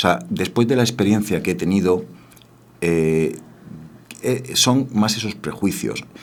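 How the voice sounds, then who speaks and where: A man speaks at a fairly low pitch. His intonation is lively. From Spain, Granada (Andalusia). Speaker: dubbing studio founder and voice actor. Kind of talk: radio interview.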